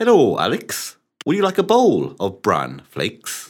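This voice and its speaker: This is a put-on character voice with a raspy edge. The pace is moderate. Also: man. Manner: cheerful, offering.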